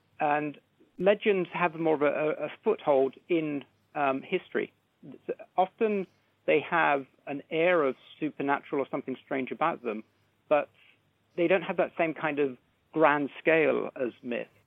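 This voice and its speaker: Pausing long and often, a man with a fairly high pitch speaks at a fairly slow pace with ordinary pitch variation. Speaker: cultural historian. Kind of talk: interview explanation. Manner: thoughtful, hesitant.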